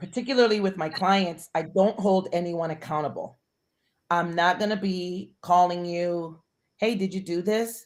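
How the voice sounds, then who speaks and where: Her pitch medium with ordinary variation, a woman speaks at a moderate pace. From Puerto Rico, raised in the US. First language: Spanish. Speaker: high performance coach. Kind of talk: interview.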